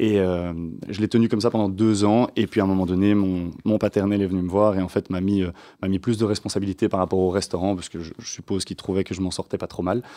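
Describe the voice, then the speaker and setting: At a very fast pace, a man delivers a monotone, flat intonation with a fairly low pitch and a dark, mellow tone. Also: quiet background. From Belgium, Waterloo. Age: 30s. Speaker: hospitality business owner. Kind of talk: radio interview. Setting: studio.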